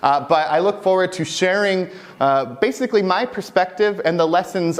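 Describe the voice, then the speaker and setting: A man's animated tone comes through noticeable background noise. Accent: American. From US Midwest, Michigan. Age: 20s. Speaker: mainframe technical specialist, conference speaker. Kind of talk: conference talk. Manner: fast.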